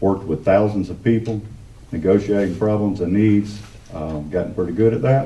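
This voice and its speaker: A man with a Southern US accent at a moderate pace, fairly low in pitch with ordinary pitch variation, over noticeable background noise. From Santa Rosa County, Florida panhandle. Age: 40s. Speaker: political candidate. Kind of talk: campaign speech at a candidate forum. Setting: public meeting with audience.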